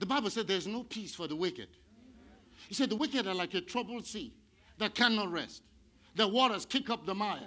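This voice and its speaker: Raised and projected, a man's high-pitched voice has a bright, sharp, animated tone with ordinary pitch variation. He talks at a fairly quick pace but leaves long, frequent pauses. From India. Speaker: pastor. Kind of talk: sermon. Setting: church.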